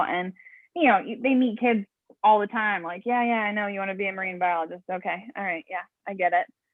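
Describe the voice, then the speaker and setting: Speaking at a very fast pace, a woman with an American accent uses a medium pitch and ordinary pitch variation. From Pittsburgh, Pennsylvania, US. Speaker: aquarist. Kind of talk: casual interview. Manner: animated, excitable.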